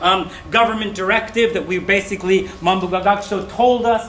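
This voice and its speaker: The voice is raised and projected, moving at a moderate pace with fairly even intonation. Audible room echo and noticeable background noise fill the recording. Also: man. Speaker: English teacher trainer. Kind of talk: presentation.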